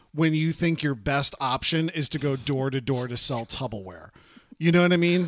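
A man's plain, everyday voice at a moderate pace, lively in intonation, on a very clean recording with a silent background. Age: 30s. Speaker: podcast co-host. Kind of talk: casual chat.

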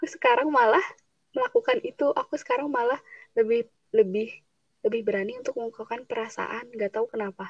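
A woman rattles along at a very fast pace, the sound dry and close with no echo. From Subang, West Java. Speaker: university student. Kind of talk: casual chat. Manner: blunt, outspoken.

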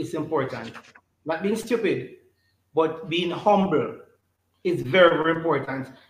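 Amid audible room echo, a man with a high pitch speaks at a moderate pace. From Jamaica, St. Catherine. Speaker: church elder, politician and former teacher. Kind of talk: interview. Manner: halting, repetitive.

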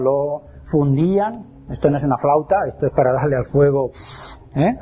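At a moderate pace, a man with a fairly high pitch and ordinary pitch variation speaks over noticeable background noise. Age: 50s. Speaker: lecturer on alchemy. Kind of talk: lecture.

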